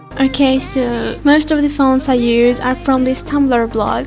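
Over music in the background, a woman talks at a high pitch and a fairly slow pace in a flat, monotone intonation. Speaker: fan video editor. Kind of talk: casual Q&A talk to camera.

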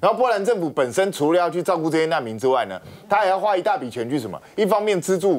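A man talks at a very fast pace in a high pitch, his voice swinging very widely up and down. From Taiwan. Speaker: talk show guest commentator. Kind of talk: TV panel discussion. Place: studio.

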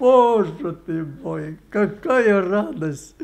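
At a very slow pace, a man speaks in a high pitch. His pitch variation is ordinary. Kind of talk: interview answer. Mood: emotional recollection, joyful at end. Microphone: handheld.

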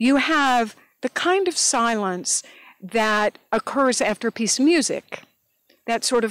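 Against a quiet background, a woman speaks with fairly high pitch and lively intonation in a dry sound with no echo. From Northeast Tennessee; Tennessee. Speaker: beekeeper; interviewee. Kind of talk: oral history interview. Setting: outdoors in garden. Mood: warm, animated reminiscing. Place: garden. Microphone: handheld.

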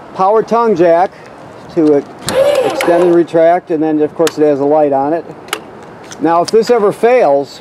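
A man with a high pitch, ordinary pitch variation and a moderate pace, over noticeable background noise. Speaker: RV dealer salesperson. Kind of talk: walkthrough tutorial. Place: street. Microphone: phone near.

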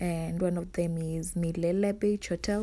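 With a dark, mellow tone, this woman speaks at a fairly low pitch and with fairly even intonation. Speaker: vlogger. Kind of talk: casual travel vlog narration. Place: car. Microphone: phone near.

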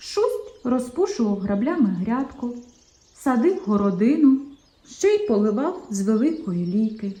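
Here the speaker is reading aloud in a natural voice.

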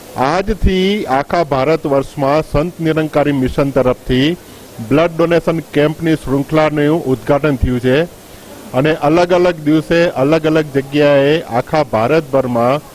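Over noticeable background noise, a man speaks with a fairly high pitch. His loudness stays very even and his intonation fairly even. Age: 60s. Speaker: volunteer organisation head. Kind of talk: news interview statement.

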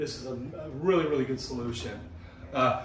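Fairly quick speech from a man, audible room echo, light background noise underneath. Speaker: remodeling contractor. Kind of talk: walkthrough tour commentary. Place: bathroom. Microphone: phone near.

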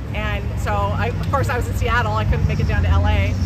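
Fairly quick speech, dry with no echo, against loud background noise. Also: woman. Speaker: former Scientology member, protester. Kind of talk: casual interview at a protest. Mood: earnest, indignant. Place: street. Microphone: phone near.

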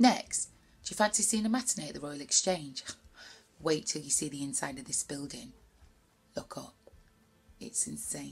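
A woman with a Greater Manchester accent, a very deep, low pitch and vocal fry speaks in an animated, playful tone at a moderate pace, with very wide pitch swings, big swings in loudness and long, frequent pauses. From Bury, Greater Manchester. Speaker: poet. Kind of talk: spoken word poetry performance. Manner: animated, playful, rhythmic, chatty. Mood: playful, lively. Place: home room. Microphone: webcam.

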